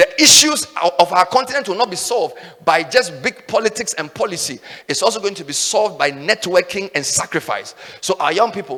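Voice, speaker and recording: A man shouts in a raised, projected voice at a high pitch, animated and with lively intonation. He moves at a fairly quick pace over noticeable background noise. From Ghana, Volta region. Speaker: radio and TV host, conference speaker. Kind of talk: motivational speech. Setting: stage with audience. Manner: loud, shouting.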